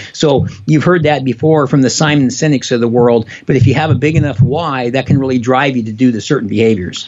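Speaking at a fairly quick pace with hardly any pauses, a man uses a medium pitch and ordinary pitch variation over noticeable background noise. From US Pacific Northwest, Spokane, Washington. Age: 70s. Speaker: motivational speaker and author. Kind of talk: interview conversation. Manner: fast talker; animated.

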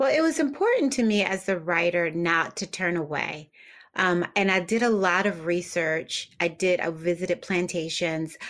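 A plain, everyday voice from a woman with an American accent, fairly low in pitch, at a moderate pace, with ordinary pitch variation and very even loudness. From US Northeast, Philadelphia. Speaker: novelist, former publicist. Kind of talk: interview.

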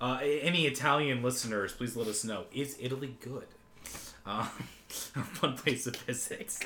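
With long, frequent pauses, a man with an American accent speaks amid noticeable background noise and audible room echo. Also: medium pitch for a man, ordinary pitch variation, moderate pace. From United States. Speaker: podcast co-host. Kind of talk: casual chat.

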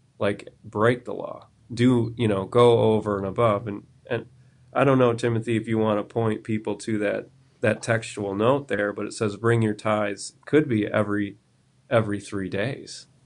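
Speaking with an American accent, a man keeps a moderate pace and a monotone, flat intonation. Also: medium pitch for a man. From US South, South Carolina. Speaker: pastor. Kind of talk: casual Bible discussion.

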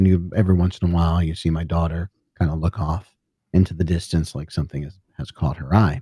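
A very fast, very deep and low male voice, somewhat breathy, with a dark, mellow tone and fairly even intonation, in a dry, close sound with no echo. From US Northeast. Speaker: podcaster, musician, author and ghost hunter. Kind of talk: casual storytelling interview.

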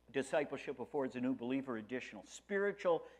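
A man with an American accent, very wide pitch swings, and a quiet background. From US Northeast, Rochester, New York. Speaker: pastor. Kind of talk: sermon.

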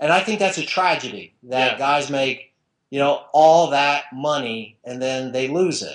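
A man with an American accent and a normal speaking voice talks at a fairly high pitch and fairly slow pace, with ordinary pitch variation and a quiet background. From New Jersey. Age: 50s. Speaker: sports writer and blogger. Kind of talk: interview.

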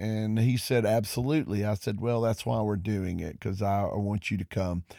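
In a Southern US accent, a man with a dark, mellow tone and medium pitch talks at a fairly quick pace with fairly even intonation, on a very clean recording with a silent background. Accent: Southern US (Georgia). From US South, Georgia. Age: 50s. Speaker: pastor. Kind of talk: monologue podcast. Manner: hesitant with many fillers.

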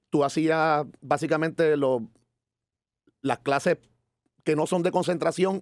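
Speaking at a fairly slow pace, a man has a fairly high pitch. The sound is dry and close, with no echo. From Puerto Rico, San Juan. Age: 40s. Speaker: musician and cultural manager. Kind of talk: interview.

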